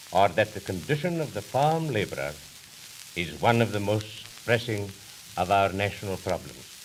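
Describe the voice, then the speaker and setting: Lively intonation at a moderate pace, with long, frequent pauses and noticeable background noise. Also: man, fairly low pitch for a man. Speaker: politician, party leader. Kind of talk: political campaign speech. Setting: old 1929 recording.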